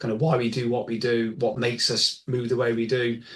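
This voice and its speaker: A man with an English accent talks at a fairly quick pace. His voice is somewhat breathy and medium in pitch. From England. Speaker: golf biomechanics expert. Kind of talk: interview conversation. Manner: halting, many fillers.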